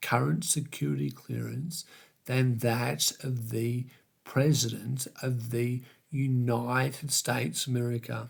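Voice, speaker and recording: The man's voice sounds somewhat breathy. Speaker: vlogger. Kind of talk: monologue to camera. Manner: halting.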